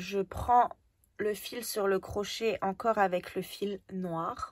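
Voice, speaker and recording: Recorded dry and close with no echo, a woman speaks very slowly at a medium pitch with fairly even intonation. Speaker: crochet teacher. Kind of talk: tutorial. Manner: slow, step-by-step.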